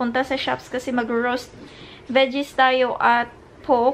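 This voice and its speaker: The voice sounds weary, with monotone, flat intonation at a fairly slow pace. There is light background noise. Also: woman. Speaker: vlogger. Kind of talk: casual vlog chat. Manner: weary, low-energy talk lying in bed. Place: home room. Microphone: phone near.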